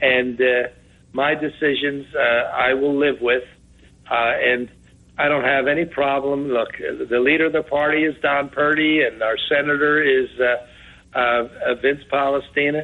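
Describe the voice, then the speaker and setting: A man with an American accent at a fairly high pitch, moderate in pace, very even in loudness, with monotone, flat intonation. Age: 70s. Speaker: county executive, politician. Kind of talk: radio interview.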